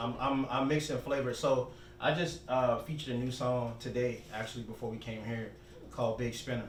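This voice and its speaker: A man with an American accent at medium pitch, moderate pace and fairly even intonation, amid noticeable background noise and audible room echo. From Charleston, South Carolina. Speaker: hip hop and R&B artist. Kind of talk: casual interview chat.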